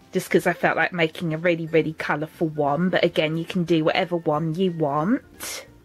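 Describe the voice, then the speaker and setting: A woman's fairly low, monotone voice at a fairly quick pace with hardly any pauses, amid noticeable background noise. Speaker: craft YouTuber. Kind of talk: tutorial.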